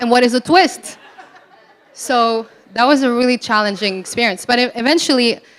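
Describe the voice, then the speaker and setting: Amid noticeable background noise, a woman with a non-native accent talks at a high pitch with ordinary pitch variation. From Morocco, raised in Belgium. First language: not English. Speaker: entrepreneur. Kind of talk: panel discussion.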